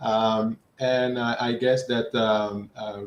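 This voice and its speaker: This man speaks with a Dutch accent. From Netherlands. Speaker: HVAC engineering expert. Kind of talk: technical presentation. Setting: online livestream.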